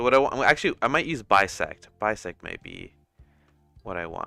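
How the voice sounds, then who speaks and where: A man speaking at a fairly quick pace, with music in the background. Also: big swings in loudness. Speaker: 3D artist streamer. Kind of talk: live tutorial stream. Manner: casual, thinking aloud.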